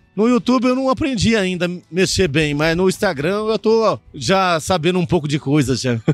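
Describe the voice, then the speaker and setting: Over music in the background, a man with a high pitch speaks in very wide pitch swings and very even loudness, with hardly any pauses. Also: moderate pace. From Goiás, Brazil. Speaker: farmer and agronomist. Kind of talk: podcast interview.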